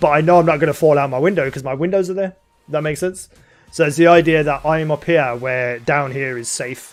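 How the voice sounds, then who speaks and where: Over music in the background, a man with a fairly high pitch speaks with fairly even intonation. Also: fairly quick pace. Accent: Birmingham. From England, Birmingham. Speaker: gaming streamer. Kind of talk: live-stream chat while gaming. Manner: casual, rambling with fillers.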